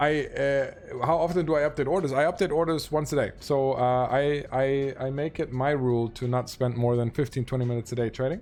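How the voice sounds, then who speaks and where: Over noticeable background noise, a man with a German accent talks at a fairly quick pace with hardly any pauses, a fairly high pitch and fairly even intonation. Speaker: Twitch streamer and game trading guide. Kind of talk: live stream Q&A. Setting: live stream answering chat. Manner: hesitant, many fillers.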